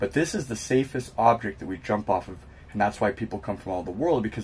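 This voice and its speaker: Here a man speaks with an American accent. His somewhat breathy voice moves at a fairly quick pace. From California. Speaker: professional base jumper; interviewee. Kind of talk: interview. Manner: hesitant, many fillers. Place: home room.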